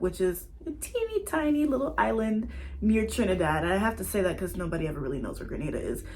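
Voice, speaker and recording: Audible room echo surrounds a woman speaking in an American accent. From US South, Atlanta, Georgia. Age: 20s. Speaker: vlogger. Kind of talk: casual personal vlog monologue.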